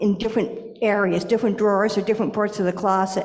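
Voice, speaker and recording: A woman's fairly high, monotone, flat voice over noticeable background noise. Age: 60s. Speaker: blind presenter at a congregation service. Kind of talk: personal testimony and Q&A.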